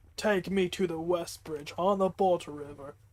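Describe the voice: The speaker uses plain reading aloud, with fairly even intonation throughout.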